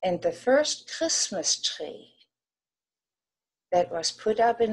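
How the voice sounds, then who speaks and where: In a German accent, a woman speaks at a very slow pace. Her pitch is medium. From Germany, West Berlin. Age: 80s+. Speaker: war-era childhood witness. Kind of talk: personal testimony.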